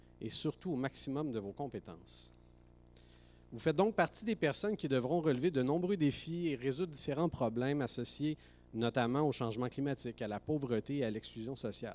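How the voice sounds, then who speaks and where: Speaking at a fairly quick pace, a man has an unremarkable speaking voice at a medium pitch with ordinary pitch variation. The recording is very clean with a silent background. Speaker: professor. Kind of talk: ceremonial speech. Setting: graduation ceremony hall.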